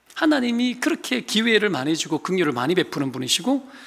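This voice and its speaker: The voice is raised and projected, with a bright, sharp tone, very wide pitch swings and a very fast pace. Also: man. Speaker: pastor. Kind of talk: sermon. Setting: church.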